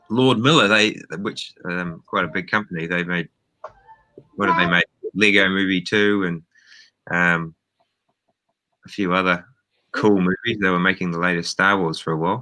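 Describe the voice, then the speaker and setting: The voice has a bright, sharp tone and a New Zealand accent, moving at a moderate pace with fairly even intonation and long, frequent pauses. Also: man, very deep, low pitch for a man. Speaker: film director. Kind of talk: interview. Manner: hesitant, many fillers.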